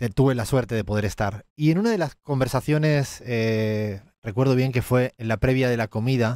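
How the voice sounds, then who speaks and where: In a very clean recording with a silent background, a man with an Andalusian accent speaks at a fairly slow pace. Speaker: economist and political analyst. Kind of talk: political analysis commentary.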